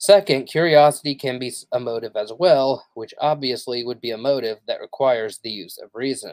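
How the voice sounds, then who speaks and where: At a medium pitch and moderate pace, a man talks with hardly any pauses in an unremarkable speaking voice, with ordinary pitch variation and big swings in loudness. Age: 30s. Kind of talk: casual livestream monologue; reading aloud. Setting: live stream.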